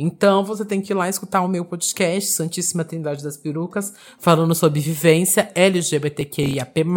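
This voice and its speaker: A moderate pace with hardly any pauses. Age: 20s. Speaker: drag queen, DJ and podcaster. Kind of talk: interview.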